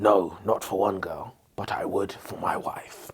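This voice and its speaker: A raspy, put-on character voice moves at a fairly slow pace. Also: man, fairly low pitch for a man. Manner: gruff, earnest.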